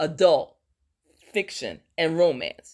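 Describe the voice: The pitch varies in an ordinary way on a very clean recording with a silent background. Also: woman.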